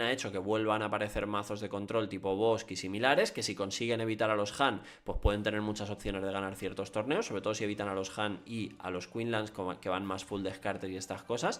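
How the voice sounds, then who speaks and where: A man's fairly quick, fairly low-pitched speech with hardly any pauses. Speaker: card game content creator. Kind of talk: commentary video on card game meta. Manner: fast.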